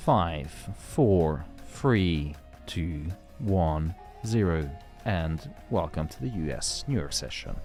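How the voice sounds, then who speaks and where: Doing a put-on character voice, a man booms in a very deep, low pitch at a very slow pace, with long, frequent pauses and clear music in the background. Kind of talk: announcer-style countdown. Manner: booming, dramatic.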